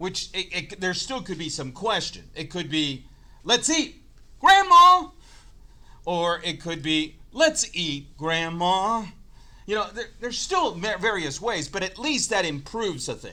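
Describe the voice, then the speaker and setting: A man speaks in a raised, projected voice with a bright, sharp tone, a high pitch and lively intonation at a fairly slow pace. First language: not English. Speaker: chemistry teacher. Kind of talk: lecture.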